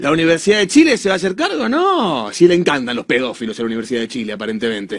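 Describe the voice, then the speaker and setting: Against a quiet background, a man with a Rioplatense accent talks very fast. His fairly high voice swings very widely in pitch. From Argentina. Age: 30s. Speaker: commentator. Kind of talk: monologue commentary. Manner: animated. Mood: indignant, sarcastic. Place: studio. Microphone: studio mic.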